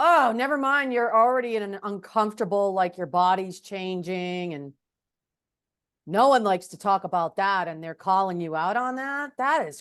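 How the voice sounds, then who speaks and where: A woman with an American accent speaks in a plain, everyday voice at a medium pitch and moderate pace, with lively intonation and big swings in loudness. The background is quiet. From New Hampshire, US. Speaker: podcast interviewer. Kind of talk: casual interview.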